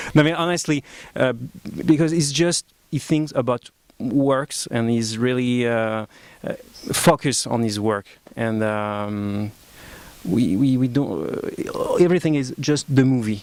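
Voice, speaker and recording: A man with a French accent talks fairly slowly at a medium pitch, his pitch varying normally. He leaves long, frequent pauses over noticeable background noise. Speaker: film director. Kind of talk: press conference. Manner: halting, many fillers.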